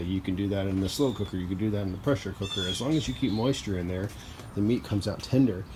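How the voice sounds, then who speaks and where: Through noticeable background noise, a man talks at a fairly low pitch. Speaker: DIY cooking video host. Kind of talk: casual tutorial vlog.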